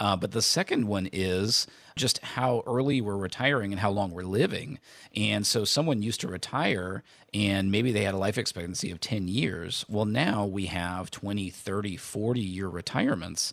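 Male speech in an ordinary speaking voice, fairly low in pitch, at a moderate pace with ordinary pitch variation. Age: 40s. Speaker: retirement financial planner and radio host. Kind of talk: casual chat.

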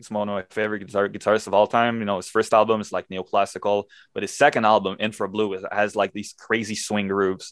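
A man in a Quebec accent at a very fast pace with hardly any pauses, fairly low pitch, monotone, flat intonation, dry, close sound with no echo, and a quiet background. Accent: Quebecois French-accented English. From Quebec, Montreal. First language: French. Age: 20s. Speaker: metal guitarist. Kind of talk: casual interview. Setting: video call.

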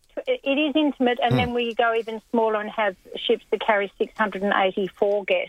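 Moderate pace in an Australian accent, with ordinary pitch variation, hardly any pauses, and noticeable background noise. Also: woman, fairly high pitch for a woman. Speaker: cruise line representative. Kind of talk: radio interview, casual chat. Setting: phone call.

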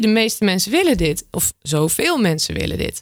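A woman's medium-pitched voice with vocal fry, in a very clean recording with a silent background. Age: 20s. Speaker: sustainability community manager, climate activist. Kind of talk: casual chat. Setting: studio. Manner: animated.

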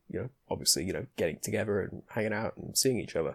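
The voice has vocal fry and lively intonation, recorded with a dry, close sound and no echo. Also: man. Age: young. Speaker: college student. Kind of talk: casual interview. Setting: video call.

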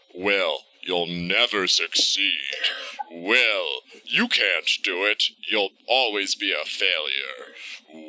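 A man's put-on character voice, fairly low-pitched, at a very slow pace. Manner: taunting, mocking.

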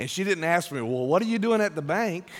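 A man's animated tone with lively intonation. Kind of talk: sermon, Bible-study style preaching to a live congregation. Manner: animated, with humorous asides, punchy short phrases and a teacherly pace.

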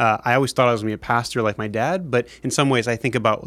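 A man talks at a very fast pace. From Japan. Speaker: geopolitical risk analyst. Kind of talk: interview.

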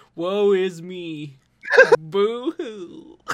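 Pitched in the middle range, this is a cartoonish character voice. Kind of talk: exaggerated cartoon.

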